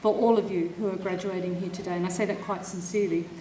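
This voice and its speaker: A woman with an Australian accent talks at a very fast pace. The room echo is audible and background noise is noticeable. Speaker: university official presiding over graduation ceremony. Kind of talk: ceremonial speech. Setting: stage with audience at graduation ceremony.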